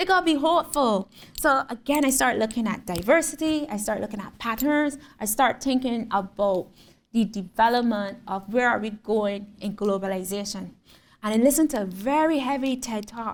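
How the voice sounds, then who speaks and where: In a Barbadian accent, a woman talks with a fairly high pitch. Her tone is animated and her intonation lively. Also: moderate pace. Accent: Barbadian (Bajan). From Barbados. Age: 30s. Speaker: visual artist. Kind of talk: lecture. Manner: animated storytelling.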